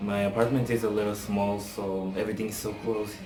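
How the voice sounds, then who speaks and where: With music in the background and audible room echo, a man with a non-native accent speaks in a fairly low pitch with monotone, flat intonation. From Africa. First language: not English. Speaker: TV reality show reviewer. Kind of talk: casual vlog commentary. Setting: apartment, home video. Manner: casual, hesitant with fillers.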